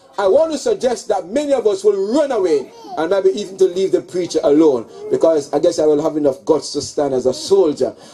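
The voice moves at a fairly quick pace while faint music plays in the background. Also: man. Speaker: preacher at a funeral. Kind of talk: sermon. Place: tent. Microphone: handheld.

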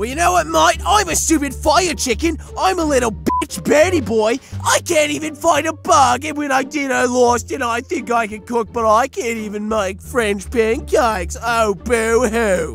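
Over clear background music, a man performs a put-on character voice. He keeps a moderate pace. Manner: loud, angry, shouting.

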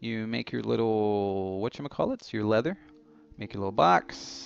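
The speaker is a man with a fairly low pitch. His voice sounds dry, with no echo. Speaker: gaming YouTuber. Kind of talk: gameplay commentary. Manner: rambling; animated. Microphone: headset.

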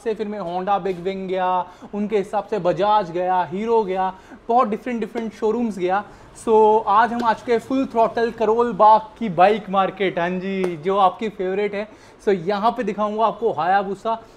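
A man with a high pitch talks at a fairly slow pace in fairly even intonation. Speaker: motorbike vlogger. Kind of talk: casual vlog chat. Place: shop.

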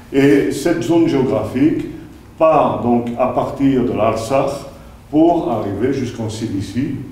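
A man speaks at a very slow pace with ordinary pitch variation. Room echo is audible. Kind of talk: lecture. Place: meeting room.

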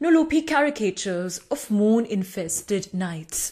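Against a quiet background, a woman with a fairly high pitch makes very wide pitch swings. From India. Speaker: poet. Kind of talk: poetry reading. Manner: hesitant, with fillers. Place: home room. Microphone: studio mic.

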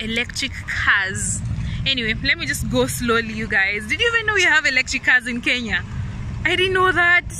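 A woman talks at a moderate pace. The sound is dry with no echo, but background noise is noticeable. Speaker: vlogger. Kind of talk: casual vlog chat. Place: street. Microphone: phone near.

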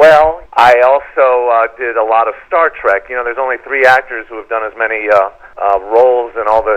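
A man speaks at a moderate pace in an unremarkable speaking voice, with medium pitch and ordinary pitch variation. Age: 60s. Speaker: actor. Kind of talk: interview.

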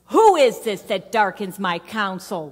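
In a put-on character voice, a female-sounding speaker uses a medium pitch and a fairly slow pace. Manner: imposing, commanding.

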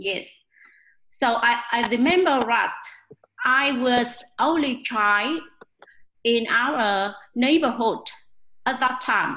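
A woman's high, bright and sharp voice comes at a very slow pace, with very even loudness and long, frequent pauses. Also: ordinary pitch variation. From Vietnam. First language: Vietnamese. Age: 40s. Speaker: English learner. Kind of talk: prepared speech practice. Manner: halting. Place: home room. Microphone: webcam.

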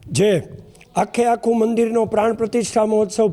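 A man talks in a high pitch with monotone, flat intonation. Noticeable background noise sits behind him. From Porbandar area, Gujarat. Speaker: village resident, event organizer. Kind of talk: media interview announcement.

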